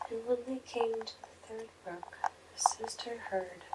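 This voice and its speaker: The speech comes at a fairly slow pace against noticeable background noise. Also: woman. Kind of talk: ASMR fairy tale reading. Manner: whispered, soft.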